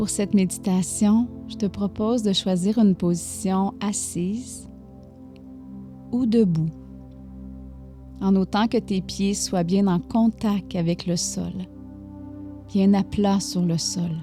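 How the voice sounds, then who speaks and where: Over music in the background, a woman with a Quebec accent speaks at a very slow pace, leaving long, frequent pauses. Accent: Québécois French. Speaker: meditation guide. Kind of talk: guided meditation. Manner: soft-spoken, slow.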